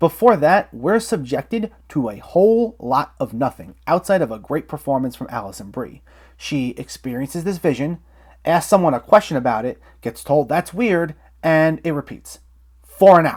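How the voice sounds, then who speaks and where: Speaking at a moderate pace, a man swings his pitch very widely. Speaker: film critic. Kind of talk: movie review talk to camera.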